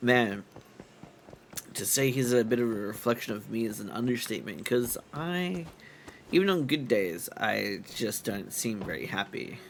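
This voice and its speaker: Using lively intonation, a man with a medium pitch talks at a moderate pace. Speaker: streamer. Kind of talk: casual chat. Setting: live stream.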